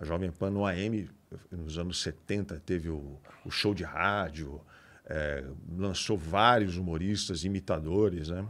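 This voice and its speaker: Speech moves at a very slow pace. The pitch varies in an ordinary way. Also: man, very deep, low pitch for a man. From Santos, São Paulo coast, Brazil; São Paulo, Brazil. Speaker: radio broadcaster; podcast guest, radio host. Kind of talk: casual chat. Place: studio. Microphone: studio mic.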